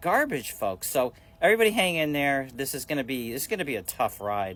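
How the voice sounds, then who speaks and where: A man's fairly high voice at a very fast pace. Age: 60s. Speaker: social media commentator. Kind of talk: casual vlog rant. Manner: halting, repetitive.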